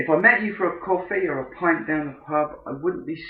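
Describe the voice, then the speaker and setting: With an English accent, a man talks at a fairly slow pace in a fairly high pitch with ordinary pitch variation. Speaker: podcast host, businessman. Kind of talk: unscripted solo podcast. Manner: deliberate.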